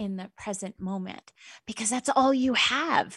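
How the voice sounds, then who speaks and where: Somewhat breathy, a woman's voice unfolds at a fairly slow speed. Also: very clean recording, silent background. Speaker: therapist and radio show host. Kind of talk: self-help radio monologue. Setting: internet radio studio.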